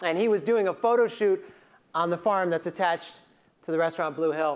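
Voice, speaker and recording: Fairly quick speech from a man with ordinary pitch variation. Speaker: keynote speaker. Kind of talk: keynote speech storytelling. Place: hall. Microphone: lapel.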